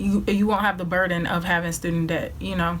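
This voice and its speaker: Noticeable background noise sits behind this woman's voice. Her pitch is medium and her intonation fairly even. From Georgia. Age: young. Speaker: college student. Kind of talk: casual talk to camera.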